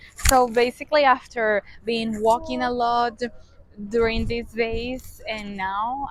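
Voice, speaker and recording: Over noticeable background noise, a woman with a Spanish accent speaks fairly slowly at a fairly high pitch with fairly even intonation. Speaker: travel vlogger. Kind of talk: travel vlog.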